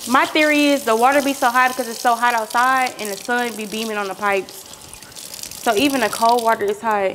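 Light background noise accompanies a woman's voice. She speaks at a fairly quick pace with ordinary pitch variation. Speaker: cooking vlogger. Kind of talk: casual vlog chat. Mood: playful, relaxed. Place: kitchen.

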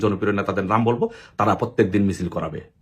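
A man speaks here. His voice is somewhat breathy. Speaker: political activist. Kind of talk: political appeal monologue. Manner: impassioned.

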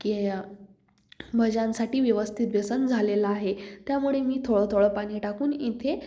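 With fairly even intonation and a fairly high pitch, a woman talks over audible room echo. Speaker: cooking vlogger. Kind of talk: cooking tutorial.

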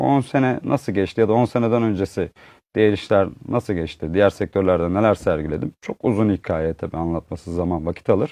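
In a dry, close sound with no echo and a quiet background, a man speaks with ordinary pitch variation. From Uşak, western Turkey. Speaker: textile entrepreneur. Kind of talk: interview storytelling. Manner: hesitant, many fillers.

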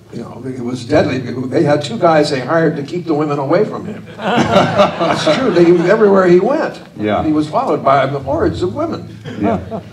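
At a moderate pace, a man talks against noticeable background noise. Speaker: interview guest. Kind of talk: interview answer. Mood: amused, warm, laughing. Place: stage. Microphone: handheld.

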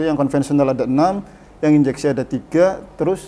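A man at a very fast pace, with ordinary pitch variation. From Indonesia, Brebes, Central Java; Central Java, Indonesia. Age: 30s. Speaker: vocational school automotive department head; automotive teacher guest. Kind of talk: casual interview. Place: studio.

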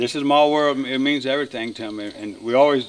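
A man with a Louisiana accent, fairly high pitch and ordinary pitch variation, over light background noise. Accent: Cajun Louisiana. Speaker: duck call maker and hunter. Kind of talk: casual documentary interview. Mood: warm, nostalgic.

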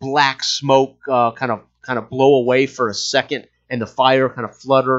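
Plain reading aloud is heard with a quiet background.

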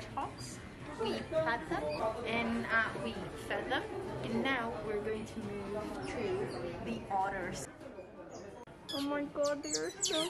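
Against loud background noise, a woman speaks very slowly, leaving long, frequent pauses. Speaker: travel vlogger. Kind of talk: casual vlog chat. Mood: excited, delighted. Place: cafe. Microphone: phone near.

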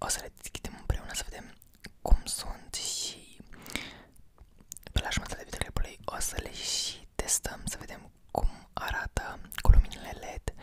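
Whispering in a relaxed tone at a moderate pace, a man leaves long, frequent pauses, and his loudness swings widely. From Romania. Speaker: ASMR content creator. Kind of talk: casual talk to camera, unboxing. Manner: soft-spoken, relaxed. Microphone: studio mic.

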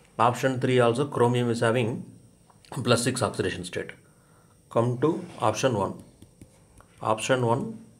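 Amid audible room echo, a somewhat breathy man speaks with long, frequent pauses. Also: medium pitch for a man, fairly even intonation, moderate pace. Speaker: chemistry teacher. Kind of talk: lecture. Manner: hesitant, frequent fillers.

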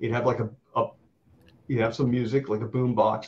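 This man has an American accent and medium pitch. Vocal fry runs through his voice. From Florida. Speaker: comic book artist. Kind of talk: casual chat.

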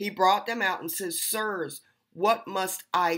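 At a fairly slow pace, a woman speaks at medium pitch with ordinary pitch variation against a quiet background. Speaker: online preacher. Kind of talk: sermon. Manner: earnest, emphatic, preaching; defiant, challenging. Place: home room. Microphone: webcam.

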